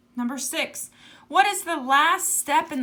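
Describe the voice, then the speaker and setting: With a raised, projected voice, a woman speaks at a fairly slow pace and with lively intonation. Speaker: elementary school teacher. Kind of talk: tutorial.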